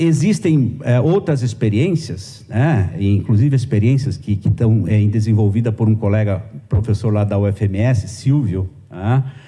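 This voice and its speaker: A somewhat breathy man talks at a fairly slow pace with a fairly low pitch, a dark, mellow tone and ordinary pitch variation. His loudness stays very even, and he hardly pauses at all. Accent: Brazilian. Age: 50s. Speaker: journalism professor. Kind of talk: conference lecture. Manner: hesitant, many fillers.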